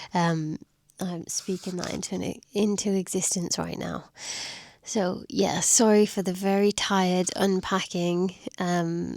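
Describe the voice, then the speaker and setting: The voice moves at a very slow pace on a very clean recording with a silent background. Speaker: travel vlogger. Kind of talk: vlog talking to camera. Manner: low-energy, unenthusiastic.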